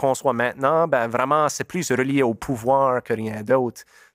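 A man speaks at a medium pitch and a moderate pace, with a Nova Scotia Acadian accent and fairly even intonation. The recording is very clean, with a silent background and a dry, close sound with no echo. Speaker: musician. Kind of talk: interview. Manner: halting.

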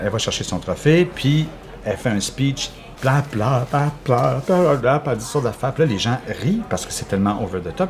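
With a Quebec accent, a man talks at a moderate pace in a medium pitch, his voice swinging very widely up and down over noticeable background noise. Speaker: theatre artist. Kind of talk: casual chat.

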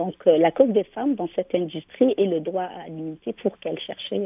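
Moderately paced speech from a woman, fairly low in pitch. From Algeria. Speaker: business association founder. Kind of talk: radio interview. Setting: phone call. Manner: hesitant with many fillers.

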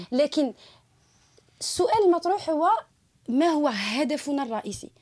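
Dark and mellow in tone, the voice goes at a fairly slow pace with lively intonation, in a very clean recording with a silent background and a dry, close sound with no echo. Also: woman. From Algeria, Tiaret (western interior). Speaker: human rights activist. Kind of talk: radio panel discussion.

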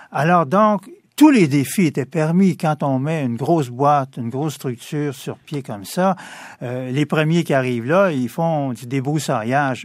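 This man has an ordinary speaking voice, fairly high in pitch, talking at a fairly slow pace with ordinary pitch variation. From Quebec, Montreal east end. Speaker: lawyer. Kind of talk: radio interview.

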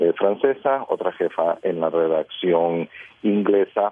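At a fairly slow pace, a man with a very deep, low pitch speaks with ordinary pitch variation. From Costa Rica. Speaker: radio journalist. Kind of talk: radio panel discussion.

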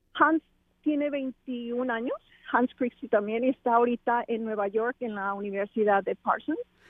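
This woman's high voice varies in pitch in an ordinary way while she talks at a fairly slow pace. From Mexico, Culiacán, Sinaloa. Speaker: activist and endurance athlete, trafficking survivor. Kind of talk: interview testimony. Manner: halting, with frequent repetitions.

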